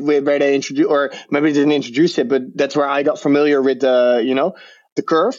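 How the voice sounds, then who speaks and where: A man talks at a fairly quick pace. His fairly high voice carries a Dutch accent. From Netherlands. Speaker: crypto trader. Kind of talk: interview. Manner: halting.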